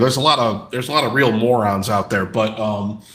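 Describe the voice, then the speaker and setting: Talking at a very fast pace, a man has an American accent and a bright, sharp tone. Room echo is audible behind him. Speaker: sports podcast co-host. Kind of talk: casual sports chat. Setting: live stream. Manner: halting, many repeats.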